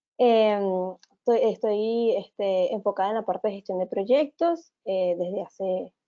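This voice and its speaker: At a fairly slow pace, a woman with a medium pitch uses an ordinary speaking voice with ordinary pitch variation. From Venezuela. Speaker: economist and project manager. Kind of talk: webinar presentation. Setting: online webinar.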